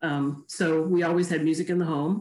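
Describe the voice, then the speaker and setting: Speaking fairly slowly in an American accent, a woman with a plain, everyday voice keeps a fairly low pitch and fairly even intonation. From Chicago. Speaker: physician, church choir member. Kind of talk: casual interview. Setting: video call.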